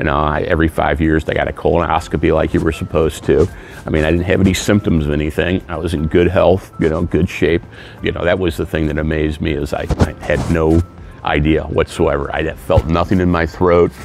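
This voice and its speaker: The speech comes at a fairly quick pace in a monotone, flat intonation, with a dry sound and no echo, and music in the background. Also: man, very deep, low pitch for a man. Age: 60s. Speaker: cancer survivor. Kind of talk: interview answer. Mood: earnest, grateful. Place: hall.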